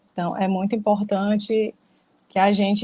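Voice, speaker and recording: Her voice sits at a medium pitch. The woman sounds somewhat breathy. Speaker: spiritist study group speaker. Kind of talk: lecture. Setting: livestream.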